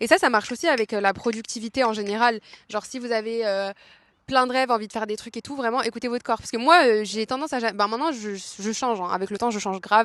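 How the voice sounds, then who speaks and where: Recorded with a dry, close sound and no echo, a woman speaks very fast at a fairly high pitch, with ordinary pitch variation. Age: 20s. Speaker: podcaster. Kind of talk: casual chat. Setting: outdoors in a park. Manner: casual, filler-heavy.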